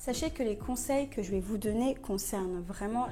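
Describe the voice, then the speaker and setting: The woman sounds somewhat breathy, with a dark, mellow tone, ordinary pitch variation and audible room echo. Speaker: plant hobbyist YouTuber. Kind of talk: casual tutorial. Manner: casual, with hesitations.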